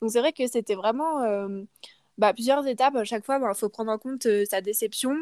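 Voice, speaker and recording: A woman has an ordinary speaking voice with a fairly high pitch and ordinary pitch variation. The sound is dry and close, with no echo. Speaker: student living abroad. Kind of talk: casual interview.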